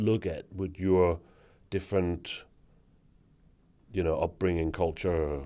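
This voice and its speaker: A man with a Danish accent speaks fairly slowly in a very deep, low voice with a dark, mellow tone and fairly even intonation. The recording is very clean, with a silent background. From Denmark. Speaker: former bank marketing executive. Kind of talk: interview conversation. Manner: hesitant with fillers.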